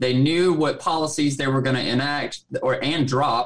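A man with a Southern US accent speaks at a moderate pace. His pitch sits fairly high for a man, and his intonation stays flat and monotone. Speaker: co-host. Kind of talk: casual livestream chat. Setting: live stream online.

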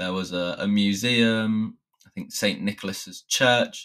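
This man's fairly low voice has a bright, sharp tone, fairly even intonation and a British accent, on a very clean recording with a silent background. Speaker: English teacher podcaster. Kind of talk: solo podcast monologue. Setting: home recording with new microphone. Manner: explanatory.

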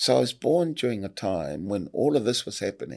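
The recording is very clean with a silent background, and the man's voice carries vocal fry. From Samoa. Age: 60s. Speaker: politician. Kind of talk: casual interview.

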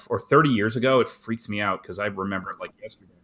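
A man with an unremarkable speaking voice talks at a fairly quick pace with ordinary pitch variation, in a very clean recording with a silent background. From Canada. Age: 40s. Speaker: scale modeler and vlogger. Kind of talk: casual chat.

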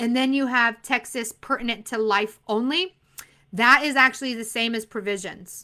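A woman's high, bright, sharp voice with an animated tone and an American accent, at a moderate pace on a very clean recording with a silent background. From Arizona. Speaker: insurance exam coach. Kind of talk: live stream Q&A. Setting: live stream.

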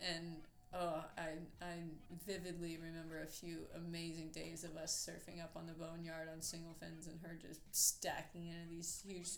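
The speaker has an American accent and a moderate pace. The intonation is monotone and flat. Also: woman, fairly low pitch for a woman. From Orlando, Florida (born Newport Beach, California). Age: 30s. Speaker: surfer. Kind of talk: casual interview. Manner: halting, many fillers.

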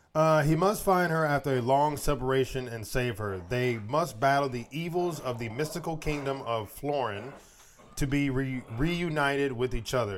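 In a plain, everyday voice, a man talks at a moderate pace, his fairly high pitch showing ordinary variation. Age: 30s. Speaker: podcast co-host. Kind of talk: casual chat.

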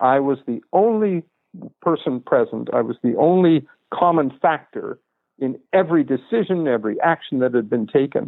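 Speaking at a moderate pace, a man with an unremarkable speaking voice uses fairly high pitch and lively intonation. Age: 60s. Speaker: author. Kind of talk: interview. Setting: remote call.

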